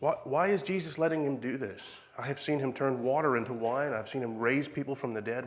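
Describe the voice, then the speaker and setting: A man with a fairly high pitch speaks with hardly any pauses, and the room's echo is audible. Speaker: preacher. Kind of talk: sermon.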